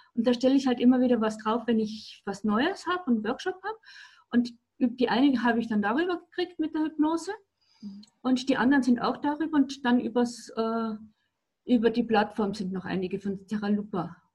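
Lively intonation and a fairly quick pace are broken up by long, frequent pauses. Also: woman, high pitch for a woman. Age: 60s. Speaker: alternative practitioner and coach. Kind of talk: casual interview. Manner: halting.

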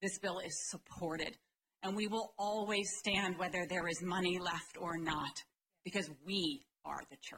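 In an American accent, a woman speaks at a fairly slow pace with a medium pitch, a bright, sharp tone and fairly even intonation. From Maryland. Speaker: law professor. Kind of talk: legislative testimony. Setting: committee hearing room. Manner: frequent filler words.

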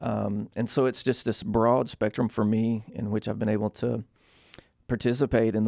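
Using vocal fry, a man at medium pitch talks at a fairly slow pace with fairly even intonation. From US South. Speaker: university ministry director. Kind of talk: interview. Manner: halting.

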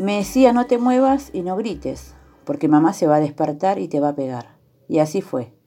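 Against a quiet background, a woman with a dark, mellow tone and fairly low pitch speaks at a moderate pace, her pitch swinging very widely. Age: 30s. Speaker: telephone operator, abuse survivor. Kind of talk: testimony.

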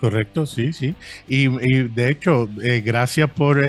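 Very slow pace from a man at a medium pitch, with fairly even intonation. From Brooklyn, New York (born in Puerto Rico). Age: 40s. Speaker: podcaster. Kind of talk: casual chat. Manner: halting, frequent fillers.

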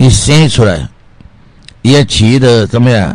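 Here a man talks at a very slow pace. His intonation is lively. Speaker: radio health show host, doctor selling health products. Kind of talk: radio health talk with sales pitch. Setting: radio studio. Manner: animated; rambling, filler-heavy.

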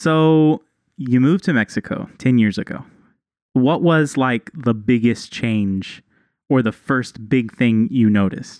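In a dry, close sound with no echo, a man with an American accent and an unremarkable speaking voice talks at a medium pitch and a fairly slow pace with ordinary pitch variation. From Texas. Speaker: podcast co-host. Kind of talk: casual chat.

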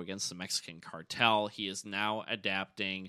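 A man with a bright, sharp tone speaks at a fairly quick pace against a quiet background. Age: 30s. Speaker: podcast host. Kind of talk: casual chat.

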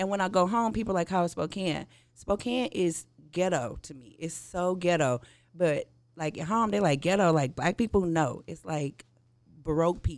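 With an American accent, the speech moves at a moderate pace on a very clean recording with a silent background. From St. Louis, Missouri. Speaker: cannabis community organizer. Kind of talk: casual chat.

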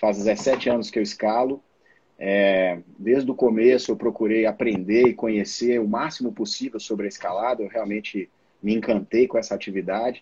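The voice has a dark, mellow tone and fairly even intonation at a moderate pace. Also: man, medium pitch for a man. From Brazil, Minas Gerais (Belo Horizonte). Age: 40s. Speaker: mountaineer and systems analyst. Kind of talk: live stream interview.

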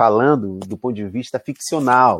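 A man speaks in a normal speaking voice against a quiet background. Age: 40s. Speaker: university professor. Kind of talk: interview.

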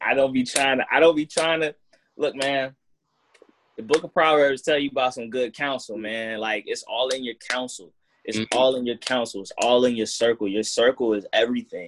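A man speaks at a medium pitch and a fairly quick pace, with ordinary pitch variation. The sound is dry and close, with no echo. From Portsmouth, Virginia, US. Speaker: rapper. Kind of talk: casual interview chat. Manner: laid-back, slangy.

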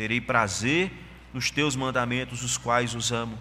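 At a very slow pace, a man speaks. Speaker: pastor. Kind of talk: sermon.

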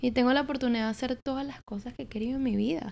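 A woman speaks at a very fast pace. Her tone is dark and mellow. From Venezuela, Caracas. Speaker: marketing entrepreneur and content creator. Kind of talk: casual chat. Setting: apartment.

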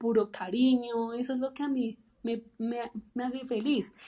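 A woman speaks at a high pitch with a dark, mellow tone. Her pace is fairly slow. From Colombia. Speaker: public speaker and podcaster. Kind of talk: interview testimony. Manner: halting.

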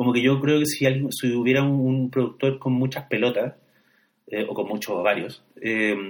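Here is a man with a Chilean accent. His pitch sits at a medium level. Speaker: podcast co-host discussing films. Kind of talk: casual chat about films.

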